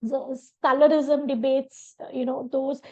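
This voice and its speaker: Over a quiet background, a woman with a Bengali accent speaks at a high pitch in a flat, monotone way. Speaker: professor. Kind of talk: interview. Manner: halting, many fillers.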